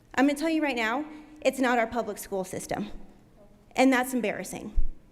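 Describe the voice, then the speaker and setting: A woman with an American accent speaks loudly in a high voice, her pitch varying in an ordinary way. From Nebraska, Omaha. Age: 20s. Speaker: public commenter. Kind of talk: public comment speech. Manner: animated.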